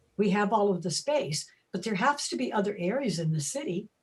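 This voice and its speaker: A woman speaks at a moderate pace and medium pitch, sounding somewhat breathy. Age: 80s+. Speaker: resident at public meeting. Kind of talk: public meeting Q&A.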